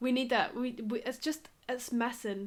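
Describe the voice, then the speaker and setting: A woman speaks with a Scottish accent at a moderate pace. Music plays in the background. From Scotland. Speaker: Sims YouTuber. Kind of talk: casual gaming vlog rant. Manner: animated.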